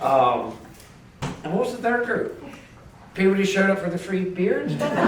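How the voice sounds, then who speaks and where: A man's high voice at a moderate pace with lively intonation, audible room echo and noticeable background noise. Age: 60s. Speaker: wholesale distribution businessman giving a eulogy. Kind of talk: memorial speech. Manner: halting, with many repetitions and fillers.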